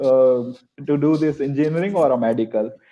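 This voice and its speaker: A man speaks with an Indian accent. His tone is dark and mellow, and his pitch varies in an ordinary way. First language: Hindi. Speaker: French teacher. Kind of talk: webinar panel discussion. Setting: live online webinar.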